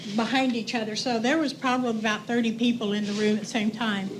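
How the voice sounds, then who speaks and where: In a room with audible echo and noticeable background noise, someone with an American accent speaks at a moderate pace with fairly even intonation. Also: woman. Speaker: resident speaking at public comment. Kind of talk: public comment. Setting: city council meeting. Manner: halting.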